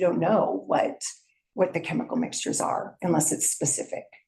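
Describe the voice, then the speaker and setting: A woman speaks at a fairly quick pace in a medium pitch, her dark, mellow tone edged with vocal fry. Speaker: toxicologist. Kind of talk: public testimony. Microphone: speaking without the mic on.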